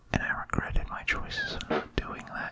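Soft-spoken and whispering at a fairly slow pace, the speaker is set against loud background noise. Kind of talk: casual deck explanation. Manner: soft ASMR whisper, rambling.

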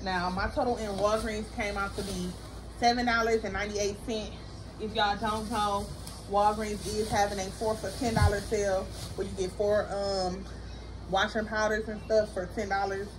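Monotone, flat intonation at a moderate pace, with noticeable background noise. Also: woman. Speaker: mom vlogger. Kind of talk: casual vlog chat. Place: home room. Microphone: camera far.

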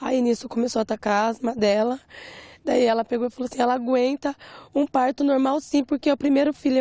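A woman speaks in a high pitch with a dark, mellow tone and monotone, flat intonation. Her fairly quick delivery sounds dry, with no echo and a quiet background. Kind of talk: interview answer. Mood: distressed, recounting hospital events. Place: open country. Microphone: handheld.

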